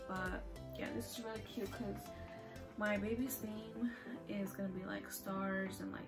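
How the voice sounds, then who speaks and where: A woman speaking at a fairly quick pace with clear music in the background. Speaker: vlogger. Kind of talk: casual vlog chat. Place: home room. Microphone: phone near.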